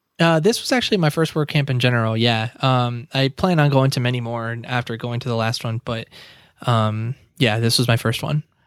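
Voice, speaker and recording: A man speaks at a moderate pace in a plain, everyday voice, with ordinary pitch variation and a dry, close sound with no echo. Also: medium pitch for a man. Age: 20s. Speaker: web developer. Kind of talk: casual interview.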